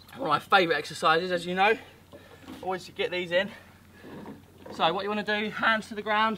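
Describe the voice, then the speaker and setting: In a raised, projected voice, a man speaks at a fairly quick pace with fairly even intonation over light background noise. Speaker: fitness coach. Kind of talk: workout instruction. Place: waterside.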